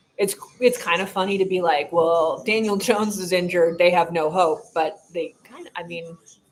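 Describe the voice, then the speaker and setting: With music in the background, a woman with an American accent speaks at medium pitch and a fairly slow pace, using ordinary pitch variation. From Buffalo, New York. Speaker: sports streamer. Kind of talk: live game-watching commentary. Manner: casual, filler-heavy.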